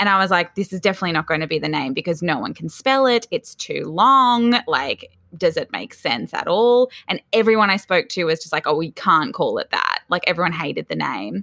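In a very clean recording with a silent background, a woman talks at a fairly quick pace with a dry, close sound and no echo. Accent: Australian. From Australia, Sydney's Northern Beaches. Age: 20s. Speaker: entrepreneur, founder of a collaboration platform. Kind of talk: casual interview chat.

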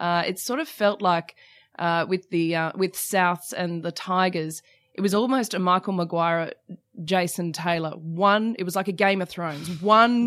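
Someone with an Australian accent speaks at a fairly slow pace with ordinary pitch variation. The recording is very clean, the background silent. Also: woman, medium pitch for a woman. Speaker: sports TV presenter. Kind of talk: casual chat. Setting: studio.

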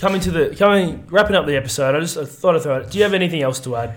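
Putting on a character voice, a man mumbles in a raspy, fairly high pitch at a fairly quick pace with lively intonation. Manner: mumbling.

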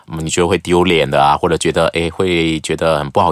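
Against noticeable background noise, a man speaks fairly quickly in a very deep, low pitch. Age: 40s. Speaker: news presenter and media educator. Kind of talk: casual chat.

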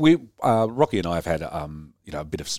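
This man speaks with an Australian accent, vocal fry and ordinary pitch variation. The recording is very clean, with a silent background. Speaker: brewer. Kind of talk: casual chat. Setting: studio.

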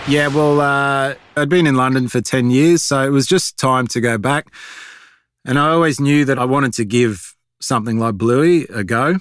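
A man with an Australian accent, medium pitch, ordinary pitch variation, very even loudness and a moderate pace, on a very clean recording with a silent background. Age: 40s. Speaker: animation creator. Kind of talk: interview. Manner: halting.

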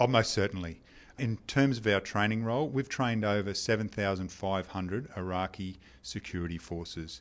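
With an Australian accent, a man speaks at a moderate pace in a fairly low pitch with ordinary pitch variation over a quiet background. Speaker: army officer. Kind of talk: interview. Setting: deployed overseas military base. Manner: formal.

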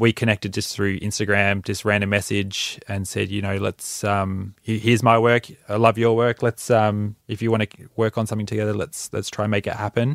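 A man with an Australian accent speaks in a fairly low, monotone, flat voice at a moderate pace with hardly any pauses, on a very clean recording with a silent background and a dry, close sound with no echo. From Australia, Mornington Peninsula, Victoria. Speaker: musician and producer. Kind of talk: interview.

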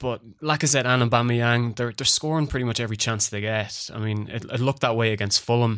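A man with an Irish accent, medium in pitch, at a very fast pace with hardly any pauses and fairly even intonation. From Ireland. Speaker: football trader and podcast co-host.

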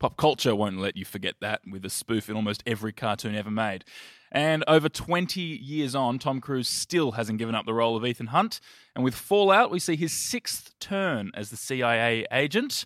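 Man with an Australian accent, medium pitch and lively intonation, at a moderate pace, in a very clean, dry, close recording with no echo and a silent background. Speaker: film podcast host. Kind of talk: casual chat about films.

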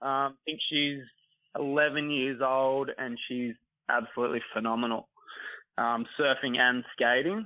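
The speaker has an Australian accent and a fairly slow pace. Pitch varies in an ordinary way. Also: man, medium pitch for a man. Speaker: junior surf coach. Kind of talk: interview. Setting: phone call.

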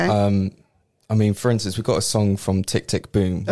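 A man talks at a moderate pace in a fairly low, dark, mellow voice. His intonation stays monotone and flat, and his loudness is very even. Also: dry, close sound with no echo. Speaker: musical theatre actor, radio interview guest. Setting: radio studio.

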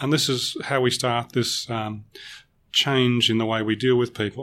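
A man with an Australian accent, medium pitch, moderate pace, and a very clean recording over a silent background. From Melbourne, Australia. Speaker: corporate trainer. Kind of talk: podcast interview.

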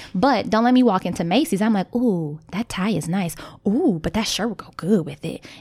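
A somewhat breathy woman's voice, medium in pitch, with an animated tone, lively intonation and a moderate pace. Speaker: podcast co-host. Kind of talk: casual chat. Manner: animated, chatty.

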